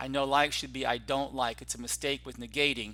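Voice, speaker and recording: Speech from a man, fairly quick in pace. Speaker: grammar teacher trainer and textbook author. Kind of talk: tutorial. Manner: fast.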